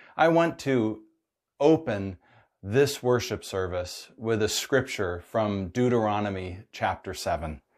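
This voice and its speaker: Over a quiet background, a man speaks very slowly with lively intonation. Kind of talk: sermon. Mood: warm, upbeat, earnest. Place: home room. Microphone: lapel.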